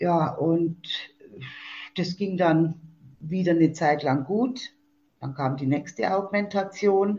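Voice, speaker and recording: Somewhat breathy and dark, mellow in tone, a woman speaks very slowly at a fairly low pitch with ordinary pitch variation and long, frequent pauses. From Germany, Fichtelgebirge (Upper Franconia, Bavaria). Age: 60s. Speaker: support group leader and patient. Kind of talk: interview. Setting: phone call.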